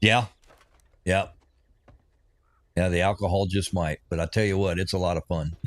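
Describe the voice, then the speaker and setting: A man with an American accent speaks in a very deep, low voice with a relaxed tone and fairly even intonation, leaving long, frequent pauses, on a very clean recording with a silent background. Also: moderate pace. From US, Oregon and Missouri. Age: 60s. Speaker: gaming streamer, retired Navy veteran. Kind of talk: casual livestream chat while gaming. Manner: relaxed, rambling with self-repeats.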